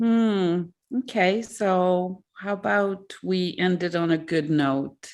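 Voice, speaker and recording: In a French accent, a woman speaks at a very slow pace and medium pitch with ordinary pitch variation. Her loudness stays very even over a quiet background. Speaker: author. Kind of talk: interview. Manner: halting.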